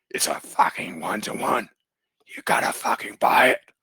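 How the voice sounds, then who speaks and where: A man puts on a raspy character voice. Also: moderate pace, dry, close sound with no echo. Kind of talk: casual, crude.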